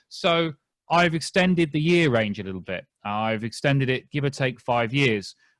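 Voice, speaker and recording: Speaking with a British accent, a man has a medium pitch and lively intonation. The sound is dry and close, with no echo. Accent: British, noticeable. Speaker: genealogist. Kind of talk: lecture. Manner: fast; clear.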